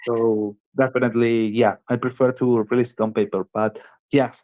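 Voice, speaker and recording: A man with a Spanish accent at a moderate pace, fairly even intonation, and a dry, close sound with no echo. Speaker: game developer founder. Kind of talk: interview. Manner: halting.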